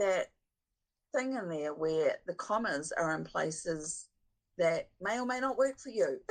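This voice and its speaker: A woman speaks at a fairly slow pace with a New Zealand accent, her pitch medium. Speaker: book editor. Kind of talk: podcast interview.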